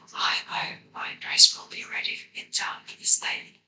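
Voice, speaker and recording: Someone whispers at a fairly slow pace. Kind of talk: read fairy tale, ASMR. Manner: whispered; soft-spoken, relaxing.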